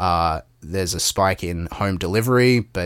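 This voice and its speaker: This man has a very deep, low pitch and an Australian accent. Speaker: podcast co-host. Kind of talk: casual political discussion.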